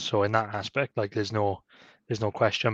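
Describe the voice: A man's fairly low voice with a fairly bright tone, at a fairly quick pace.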